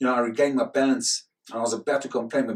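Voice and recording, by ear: The text is read aloud naturally, with quiet surroundings.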